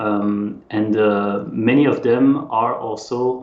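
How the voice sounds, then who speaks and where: A man's fairly low voice with a French accent and audible room echo. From French-speaking Switzerland. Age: 30s. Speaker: exercise physiologist and fitness coach. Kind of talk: casual interview chat. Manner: hesitant, many fillers.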